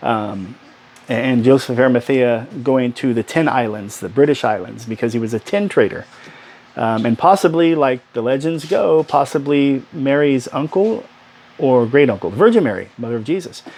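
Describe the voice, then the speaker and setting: A man speaks with lively intonation. There is noticeable background noise. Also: medium pitch for a man. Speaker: book vlogger. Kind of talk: casual monologue. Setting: small room at home. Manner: fast.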